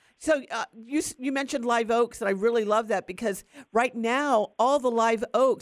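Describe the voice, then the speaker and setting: An ordinary speaking voice, a woman's, fairly high, with an American accent, moderate pace, ordinary pitch variation and hardly any pauses. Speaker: radio host. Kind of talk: live radio gardening call-in show. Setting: studio. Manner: warm, chatty, upbeat.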